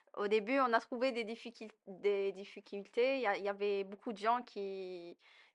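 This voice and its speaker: A woman uses an ordinary speaking voice at a medium pitch and a moderate pace. Her intonation is fairly even, against a quiet background. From Algeria. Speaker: immigrant interviewee. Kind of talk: podcast interview.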